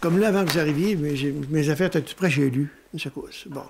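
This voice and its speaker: A man talks very fast in a fairly high voice, his pitch varying in an ordinary way. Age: 80s+. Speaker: elderly interviewee. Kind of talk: documentary interview.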